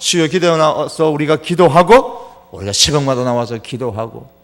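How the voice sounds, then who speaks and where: Swinging very widely in pitch, a man with a fairly high voice speaks at a fairly quick pace. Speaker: pastor. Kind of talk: sermon. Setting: church, Friday prayer service.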